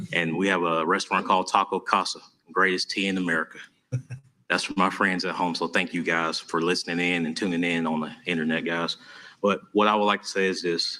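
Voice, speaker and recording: With an Alabama accent, a man talks at a fairly quick pace in a very deep, low pitch, his tone bright and sharp and his intonation monotone and flat. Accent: Southern US (Alabama). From US South, Tuscaloosa, Alabama. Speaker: mayoral candidate. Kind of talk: campaign speech at candidate forum.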